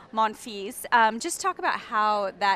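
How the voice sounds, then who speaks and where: A woman is speaking. Noticeable background noise runs beneath her. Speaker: radio reporter. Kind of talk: interview. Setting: player lounge.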